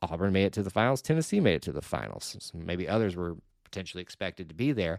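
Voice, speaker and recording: A man with an Alabama accent speaks at a fairly low pitch. The recording is very clean, with a silent background. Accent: Southern US (Alabama). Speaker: sports podcast host. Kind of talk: solo podcast news round-up. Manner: casual, with frequent fillers.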